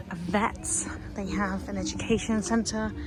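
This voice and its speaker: A soft-spoken woman at medium pitch, with music in the background and audible room echo. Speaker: equestrian commentator and vlogger. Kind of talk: casual vlog narration. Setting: outdoors at equestrian venue.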